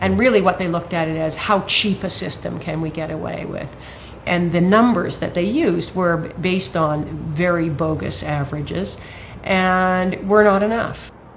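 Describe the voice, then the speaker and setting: A woman with a Canadian accent, fairly low-pitched, with ordinary pitch variation over noticeable background noise. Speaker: parent advocate. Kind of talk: interview. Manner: fast talker.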